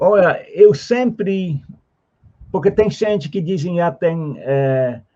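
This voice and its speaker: A man's high-pitched voice with a dark, mellow tone, at a very slow pace. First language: Dutch (speaking Portuguese). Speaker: theosophist. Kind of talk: interview. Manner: halting.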